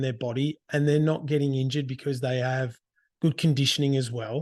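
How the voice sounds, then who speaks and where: This man has a fairly high pitch and an Australian accent. He talks at a moderate pace with fairly even intonation against a quiet background. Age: 40s. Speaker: karate teacher and podcast host. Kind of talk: casual monologue. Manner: halting, many restarts.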